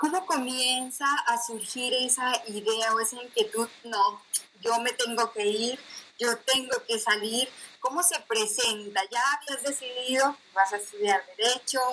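A woman's high-pitched voice at a fairly slow pace, with ordinary pitch variation and noticeable background noise. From Colombia, provinces. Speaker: radio host. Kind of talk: interview. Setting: video call from home.

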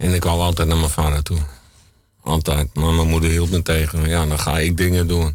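In a very deep, low pitch, a man speaks at a moderate pace with monotone, flat intonation and very even loudness. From Brabant, Netherlands (born in Limburg). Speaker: guest telling life story. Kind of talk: radio interview. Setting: studio.

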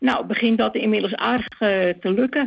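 At a fairly slow pace, a woman speaks with a medium pitch, vocal fry and ordinary pitch variation. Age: 70s. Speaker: discussion group organizer. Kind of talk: interview. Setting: phone call.

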